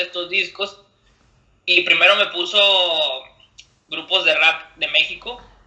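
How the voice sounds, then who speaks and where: A man's raised, projected, high-pitched voice at a fairly slow pace. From Monterrey, northern Mexico. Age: 20s. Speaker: freestyle rapper. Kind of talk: casual interview. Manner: halting, with many repetitions and fillers.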